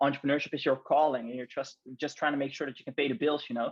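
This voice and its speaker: This man has a non-native accent and a fairly high pitch. His intonation stays fairly even. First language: not English. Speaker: branding specialist and podcast host. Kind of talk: casual chat. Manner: halting, many fillers and repetitions.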